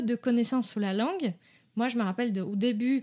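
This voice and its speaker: A woman speaks with a Portuguese accent at a high pitch. The recording is very clean, with a silent background. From Brazil. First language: Portuguese (speaking French). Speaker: dog behaviour consultant. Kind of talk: podcast interview. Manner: halting, many hesitations.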